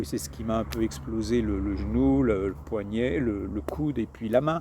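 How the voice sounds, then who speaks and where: This man has a medium pitch, and his voice makes very wide pitch swings. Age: 60s. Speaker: hiker vlogger. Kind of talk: casual vlog monologue. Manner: halting, many repetitions and fillers.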